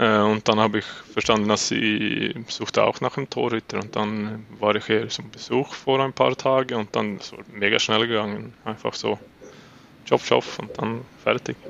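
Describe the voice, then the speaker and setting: This man speaks with a Swedish accent. His pace is moderate. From Sweden, Uppsala. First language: Swedish (speaking German). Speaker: floorball goalkeeper. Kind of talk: interview. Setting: remote interview in the evening, guest has training later. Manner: halting, searching for words.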